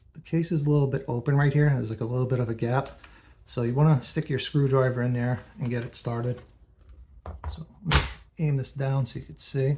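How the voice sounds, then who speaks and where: A man whispers, soft-spoken and somewhat breathy, at a very fast pace with big swings in loudness and long, frequent pauses. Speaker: comic book collector, video creator. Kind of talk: tutorial. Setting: at home, late at night. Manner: soft-spoken, partly whispering.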